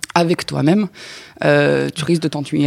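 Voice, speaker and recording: A woman at a moderate pace, with a dry, close sound and no echo. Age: 30s. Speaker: podcast guest. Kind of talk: casual chat. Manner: halting.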